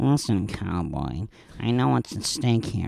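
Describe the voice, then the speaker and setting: Putting on a character voice, a man talks fairly slowly in a very deep, low pitch that swings very widely. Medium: comedy sketch.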